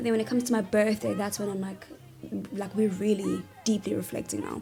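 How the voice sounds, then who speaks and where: Here is a woman speaking. Her voice is somewhat breathy. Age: 20s. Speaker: vlogger. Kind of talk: casual vlog talk. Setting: sitting in a bathtub. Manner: animated.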